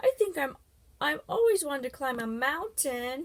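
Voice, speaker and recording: A woman's high, put-on character voice at a moderate pace. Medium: read story. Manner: wondering, innocent.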